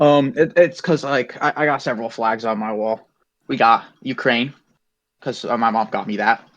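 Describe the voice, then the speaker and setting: In an American accent, a man talks at a moderate pace in an ordinary speaking voice, medium in pitch with ordinary pitch variation. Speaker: interviewer. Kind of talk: casual interview.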